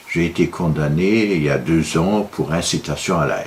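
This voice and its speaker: Very deep, low male pitch with ordinary pitch variation. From Luxembourg. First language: Luxembourgish (speaking French). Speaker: political commentator, law graduate. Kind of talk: video monologue. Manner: halting, many filler hesitations.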